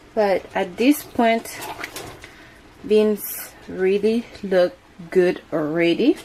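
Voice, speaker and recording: Noticeable background noise sits behind a woman speaking at a very slow pace. Her medium-pitched voice has lively intonation. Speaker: home cooking vlogger. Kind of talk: cooking tutorial. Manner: casual, conversational.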